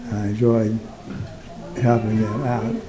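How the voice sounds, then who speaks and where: A man at medium pitch with fairly even intonation, audible room echo and noticeable background noise. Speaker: retired doctor and war veteran. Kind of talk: personal testimony. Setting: recording booth at a museum. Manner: halting, frequent fillers.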